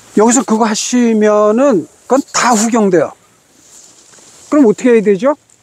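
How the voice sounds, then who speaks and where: A fairly slow, high-pitched male voice. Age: 70s. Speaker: ski instructor. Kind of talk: lesson.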